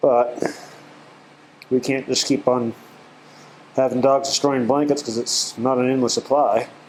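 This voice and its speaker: A man's medium-pitched voice at a fairly slow pace, monotone and flat, with long, frequent pauses and noticeable background noise. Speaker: animal shelter volunteer. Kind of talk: casual walkthrough vlog. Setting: indoors in dog kennel. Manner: halting; calm.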